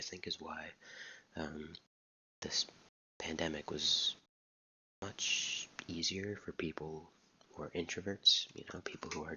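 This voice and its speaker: Someone whispers at a moderate pace. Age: 20s. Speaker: YouTuber. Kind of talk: casual vlog monologue. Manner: quiet, soft-spoken; halting with many repetitions.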